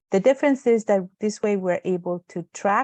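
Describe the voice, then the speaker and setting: A woman at a moderate pace with ordinary pitch variation, dry and close with no echo, against a quiet background. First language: Spanish. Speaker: webinar moderator. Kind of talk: webinar hosting. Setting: video call.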